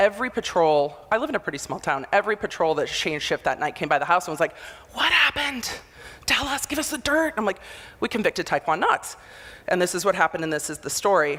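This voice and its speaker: Loud and animated, a woman at a medium pitch speaks at a very fast pace with very wide pitch swings. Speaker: motivational speaker, former prosecutor. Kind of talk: conference talk. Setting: stage with audience.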